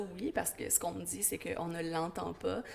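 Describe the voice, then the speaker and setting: There is clear noise in the background. A woman is talking. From Quebec, West Island of Montreal (Pointe-Claire). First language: English (speaking French). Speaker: school educator. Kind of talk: interview.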